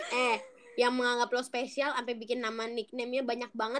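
A woman's high-pitched voice. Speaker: podcast co-host. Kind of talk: casual chat.

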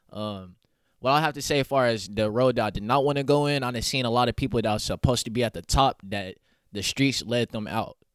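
A man with an American accent speaks at a very fast pace, at a medium pitch with ordinary pitch variation. The very clean recording has a silent background and a dry, close sound with no echo. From Oklahoma City east side. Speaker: rapper and clothing entrepreneur. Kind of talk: casual interview.

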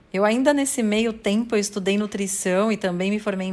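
This woman has an ordinary speaking voice, medium in pitch, and talks at a fairly quick pace. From São Paulo, Brazil. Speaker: sales coach and podcast creator. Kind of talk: personal testimony monologue.

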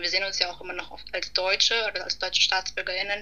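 A woman speaks with monotone, flat intonation. Noticeable background noise runs beneath her voice. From Hamburg, Germany. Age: 20s. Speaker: student, podcast guest. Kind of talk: casual conversation.

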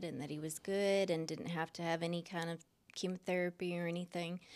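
A woman with an American accent talks at a moderate pace in a fairly low pitch, with an unremarkable speaking voice. The recording is very clean, with a silent background. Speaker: churchgoer sharing her story. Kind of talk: interview testimony. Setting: pastor's office.

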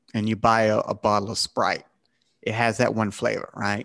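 A medium-pitched man with a Southern US accent. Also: dry, close sound with no echo. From South Carolina, US South. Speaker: podcast host. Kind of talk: casual chat.

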